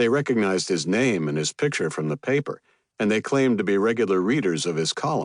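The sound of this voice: The clip is an unforced reading voice over a quiet background.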